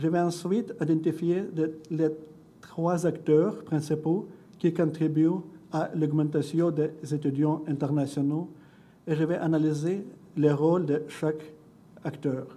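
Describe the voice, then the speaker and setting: A man with a non-native accent speaks at a very slow pace and fairly high pitch, his dark, mellow voice flat and monotone at very even loudness, with long, frequent pauses and audible room echo. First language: not French (speaking French). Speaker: education researcher and doctoral student. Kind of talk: conference presentation. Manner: halting, with self-corrections.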